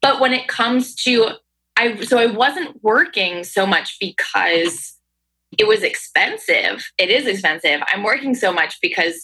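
In an American accent, a woman with an ordinary speaking voice talks at a moderate pace and fairly high pitch, her intonation lively and her loudness very even. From Hudson Valley, upstate New York. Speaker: travel podcaster and tutor. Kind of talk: casual interview chat.

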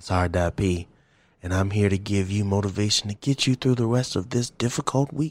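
On a very clean recording with a silent background, a man with an American accent speaks at a moderate pace in a fairly low voice with ordinary pitch variation. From US military family; born Twentynine Palms, California, raised partly in Louisiana. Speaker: podcast host. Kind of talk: casual chat. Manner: animated.

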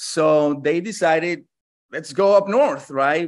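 Man at a very slow pace with ordinary pitch variation and a quiet background. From New York City (born in Colombia). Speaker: marketing consultant. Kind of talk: interview.

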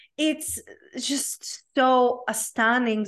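The background is quiet. The speaker has a Czech accent. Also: woman. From Czech Republic. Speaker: life coach. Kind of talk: interview conversation.

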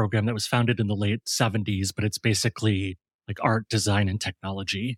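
Here a man has a plain, everyday voice, fairly low in pitch, with an American accent and fairly even intonation. The recording is very clean, with a silent background and a dry, close sound with no echo. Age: 40s. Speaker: designer and design educator. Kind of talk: casual interview.

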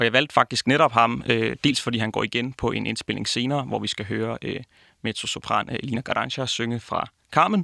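A man at a moderate pace, recorded dry and close with no echo, very clean over a silent background. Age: 20s. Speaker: opera singing student. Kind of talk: interview.

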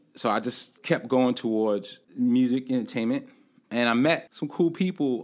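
A man with a New York accent, medium pitch and lively intonation, on a very clean recording with a silent background. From Brooklyn, New York. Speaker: film festival founder. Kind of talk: interview. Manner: animated.

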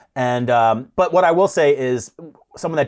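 A man with a plain, everyday voice, lively intonation and a moderate pace. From Detroit, Michigan. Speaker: comedian. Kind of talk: casual chat.

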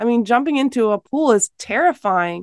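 A woman talks at a moderate pace in a plain, everyday voice with a fairly high pitch. The sound is dry and close with no echo, over a quiet background. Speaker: Bible professor and author. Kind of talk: radio interview.

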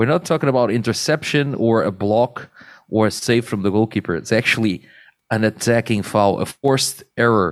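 A man with a Portuguese accent at a moderate pace, lively in intonation and very even in loudness, on a very clean recording with a silent background. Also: medium pitch for a man. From Portugal. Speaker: beach handball expert. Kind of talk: casual chat.

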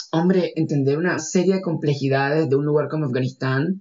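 This is a man speaking. His pitch is fairly high. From Nicaragua. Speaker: architect and researcher. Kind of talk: interview testimony. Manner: halting, with many fillers and repetitions.

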